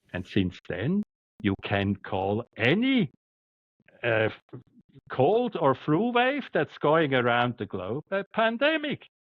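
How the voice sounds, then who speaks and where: This man has a strong Swiss German accent and a fairly high pitch. He talks at a very slow pace with very wide pitch swings. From Switzerland. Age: 60s. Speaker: doctor. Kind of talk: interview. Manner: halting, repeats words.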